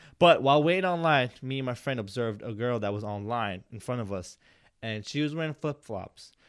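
A man mumbles at a fairly quick pace. His intonation stays lively. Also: medium pitch for a man. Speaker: podcast host. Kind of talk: casual chat. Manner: mumbling.

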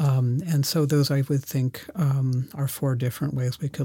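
A man talks in a fairly high pitch with fairly even intonation. His tone is dark and mellow, and somewhat breathy. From mixed: born Germany, schooled San Francisco. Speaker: researcher and shamanism practitioner. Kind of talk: interview. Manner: hesitant, many fillers.

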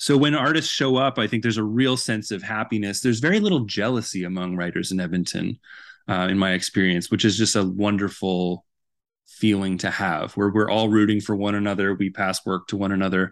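With a Canadian accent, a man speaks in an ordinary speaking voice at a fairly quick pace and fairly low pitch, with ordinary pitch variation, against a quiet background. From Vancouver, Canada. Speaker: author and journalist. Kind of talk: interview.

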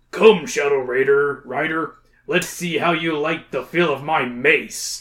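Putting on a character voice, a man speaks at a fairly slow pace in a fairly high pitch with ordinary pitch variation. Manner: defiant, bold.

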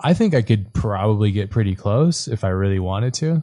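Over a quiet background, a man in a normal speaking voice talks at a moderate pace and a fairly low pitch, with ordinary pitch variation. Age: 30s. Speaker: podcast host. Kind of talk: casual chat; monologue.

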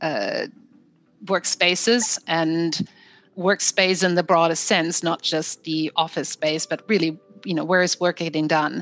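With music in the background, a woman speaks at a moderate pace and a fairly low pitch. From Germany. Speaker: HR executive. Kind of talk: panel discussion. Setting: video call.

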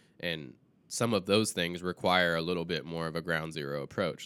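A man with a very deep, low voice and vocal fry, recorded very cleanly against a silent background. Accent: American. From US South. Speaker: filmmaker. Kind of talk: casual chat.

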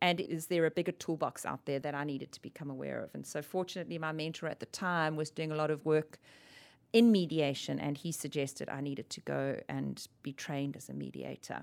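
A woman with a very deep, low pitch and fairly even intonation, at a fairly quick pace with big swings in loudness, on a very clean recording with a silent background. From South Africa. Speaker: ombudsman, dispute resolution specialist. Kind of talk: casual interview conversation.

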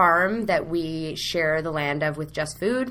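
A woman with a Canadian accent talks at a very slow pace in a fairly low pitch. Noticeable background noise and audible room echo fill the recording. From Canada, Ottawa. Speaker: program coordinator at a youth charity. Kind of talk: interview.

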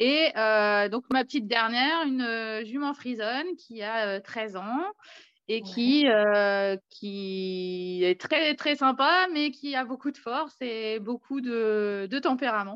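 A woman at a very slow pace, fairly high in pitch, with lively intonation. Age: 40s. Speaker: horse owner and student. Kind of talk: testimony. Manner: halting.

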